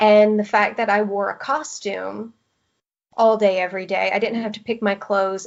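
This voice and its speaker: A woman speaks with a Southern US accent at a medium pitch. Her intonation is monotone and flat, her pace moderate. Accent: Southern American twang. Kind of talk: podcast interview answer.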